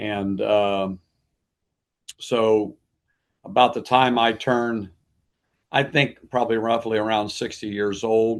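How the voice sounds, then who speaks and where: A medium-pitched man's voice with an American accent, very slow and fairly even, broken by long, frequent pauses, over a quiet background. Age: 70s. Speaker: pastor. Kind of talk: interview.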